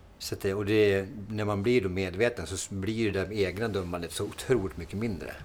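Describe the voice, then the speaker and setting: Speaking at a moderate pace with hardly any pauses, a man with a Norrland accent has a fairly low pitch and fairly even intonation. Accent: Norrland dialect (Timrå). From Sweden, Timrå (Medelpad, Norrland). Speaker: podcast host, fitness coach. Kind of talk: casual chat.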